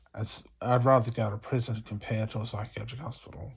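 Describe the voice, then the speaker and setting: Heard on a very clean recording with a silent background, a man talks at a moderate pace and medium pitch with fairly even intonation. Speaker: video blogger recounting psychiatric hospital experience. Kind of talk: rambling personal monologue. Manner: loud; repetitive, circling speech.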